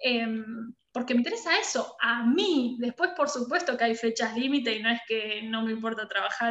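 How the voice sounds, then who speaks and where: A woman speaks at a moderate pace. Her pitch is high, with ordinary pitch variation. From Argentina, La Pampa (Santa Rosa). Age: 30s. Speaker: design studio director. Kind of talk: interview.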